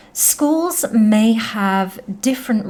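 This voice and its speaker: A woman with a British accent speaks at a very slow pace. Her voice is somewhat breathy and her intonation lively. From United Kingdom. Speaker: English teacher. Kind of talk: educational podcast narration.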